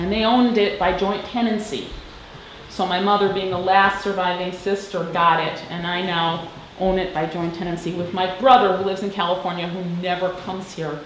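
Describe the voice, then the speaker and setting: Fairly even intonation moves at a fairly quick pace, with audible room echo and light background noise. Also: woman, medium pitch for a woman. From Madison, Wisconsin; Wisconsin. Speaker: interviewee. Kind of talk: personal reminiscence.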